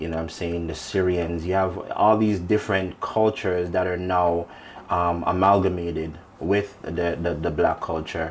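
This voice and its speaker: A man at a moderate pace, very deep and low in pitch, monotone and flat, with audible room echo. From Jamaica (Hanover). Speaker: dancehall artist. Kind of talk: interview.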